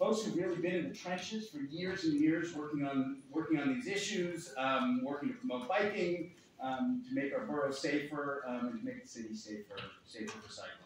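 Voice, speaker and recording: Strong room echo and light background noise surround speech at a fairly quick pace. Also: man. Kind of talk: welcome speech. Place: hall.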